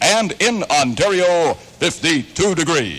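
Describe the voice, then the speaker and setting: High-pitched male speech over noticeable background noise. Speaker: radio news director. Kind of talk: radio newscast. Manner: distinctive news delivery.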